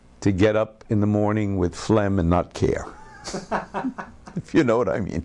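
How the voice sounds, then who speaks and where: With noticeable background noise behind him, a man talks at a moderate pace in a fairly low pitch, with ordinary pitch variation and long, frequent pauses. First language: Ladino. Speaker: cantor. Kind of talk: interview. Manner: halting.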